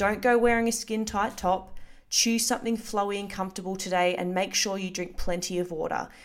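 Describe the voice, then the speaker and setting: This is a plain, everyday voice, delivered at a moderate pace. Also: woman. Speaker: fitness coach podcaster. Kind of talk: pep talk, direct-address encouragement. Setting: solo recording, podcast. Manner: warm, reassuring, upbeat; practical, conversational, matter-of-fact.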